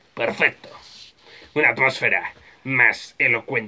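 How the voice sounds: A man talks slowly in a put-on character voice at medium pitch, with ordinary pitch variation. His tone is bright and sharp, with a slightly husky edge.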